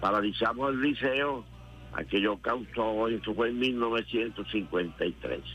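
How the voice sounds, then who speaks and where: Music plays in the background as a man speaks at a very slow pace. His pitch is medium, with ordinary variation. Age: 80s+. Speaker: politician and former guerrilla commander. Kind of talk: radio interview. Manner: halting.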